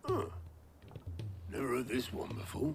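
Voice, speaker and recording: A put-on character voice, raspy and low-to-middle in pitch, at a moderate pace over clear background noise. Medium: video game. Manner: wry, gruff.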